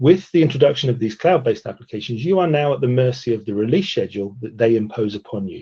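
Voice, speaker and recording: Somewhat breathy and dark, mellow in tone, a man speaks with a British accent at a fairly quick pace. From Britain. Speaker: software testing presenter. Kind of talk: webinar presentation.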